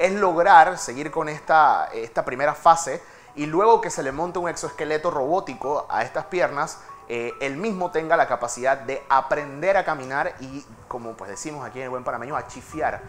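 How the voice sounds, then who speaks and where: Over faint background music, a man speaks at a moderate pace with ordinary pitch variation and big swings in loudness. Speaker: TV presenter. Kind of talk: news segment commentary. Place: studio.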